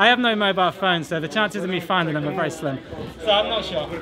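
Over faint background noise, a man with an American accent talks fast in a high pitch, with a bright, sharp tone and ordinary pitch variation.

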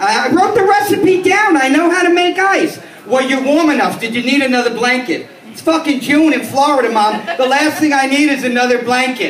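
Lively intonation and an American accent come through with audible room echo and light background noise. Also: man, extremely high pitch for a man, moderate pace. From New York City, the Bronx. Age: 50s. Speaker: stand-up comedian. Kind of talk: stand-up. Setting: stage with small audience. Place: bar. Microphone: pa.

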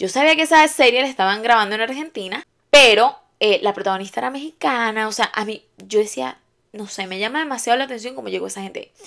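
Talking very fast in a Venezuelan accent, a woman with a fairly high pitch and vocal fry sounds animated, her loudness swinging widely. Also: lively intonation. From Venezuela, Valencia. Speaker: YouTuber. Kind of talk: casual storytelling vlog. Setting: at home, on her bed. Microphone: new microphone.

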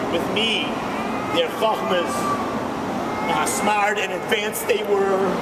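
A man talks against loud background noise. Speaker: rabbi. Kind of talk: eulogy for his mother, personal reminiscences. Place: station. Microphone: phone near.

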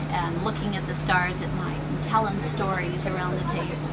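A woman talks at a moderate pace. Loud background noise runs underneath. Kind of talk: interview answer. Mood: warm, friendly. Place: boat. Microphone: camera far.

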